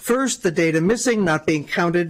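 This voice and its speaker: A man's high-pitched voice carries lively intonation. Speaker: public hearing speaker, environmental advocate. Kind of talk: public testimony.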